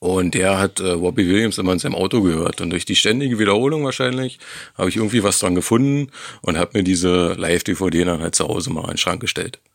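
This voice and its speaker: At a very fast pace, a man talks in a very deep, low pitch with ordinary pitch variation. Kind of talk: pre-recorded voice message.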